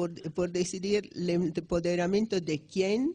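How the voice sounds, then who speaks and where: A woman speaks at a medium pitch. Her tone is dark and mellow, and somewhat breathy. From Italy. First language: Italian (speaking Spanish). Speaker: economics professor. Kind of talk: lecture. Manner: halting, many restarts.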